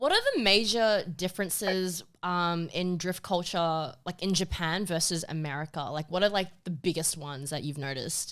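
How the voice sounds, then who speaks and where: A woman with a normal speaking voice talks at a moderate pace and fairly low pitch, with ordinary pitch variation and hardly any pauses. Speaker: podcast host, marketing staff. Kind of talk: podcast host intro.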